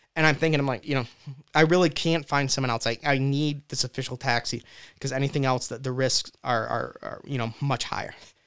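This man has a plain, everyday voice, fairly high in pitch, and he moves at a fairly quick pace with fairly even intonation. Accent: American. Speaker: husband of a Ukrainian refugee's daughter. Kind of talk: casual interview. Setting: studio.

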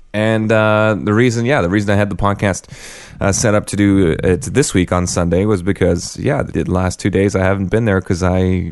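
A normal speaking voice from a man, fairly low-pitched, with fairly even intonation at a moderate pace. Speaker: podcast host. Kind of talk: casual chat. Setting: remote recording. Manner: joking, bantering.

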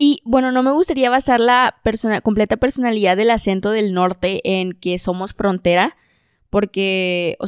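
A woman's fairly high voice in a northern Mexican accent, fairly slow, with ordinary pitch variation and a dry, close sound with no echo, on a very clean recording with a silent background. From northern Mexico. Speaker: podcast co-host. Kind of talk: casual chat.

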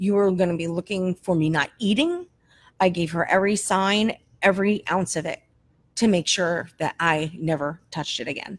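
This woman has an ordinary speaking voice, medium in pitch, with an American accent and ordinary pitch variation. She talks at a moderate pace in a very clean recording with a silent background. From New Jersey. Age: 40s. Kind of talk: testimony.

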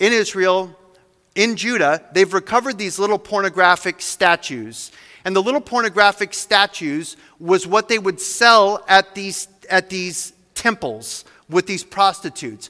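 A man uses a raised, projected voice at a high pitch, with a bright, sharp tone and ordinary pitch variation. He speaks at a moderate pace, in a dry, close sound with no echo. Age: 40s. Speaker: pastor. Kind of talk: sermon.

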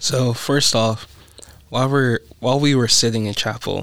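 A man talks in an unremarkable speaking voice at medium pitch and a moderate pace. His pitch varies in an ordinary way. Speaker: college student. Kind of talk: casual chat.

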